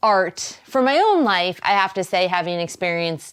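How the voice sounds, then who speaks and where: Speaking at a moderate pace, a woman has a slight Boston accent. Her pitch varies in an ordinary way. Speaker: wellness show host. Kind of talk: talk show monologue. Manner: casual, conversational.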